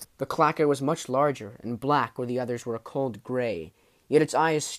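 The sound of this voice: An unforced voice, reading aloud.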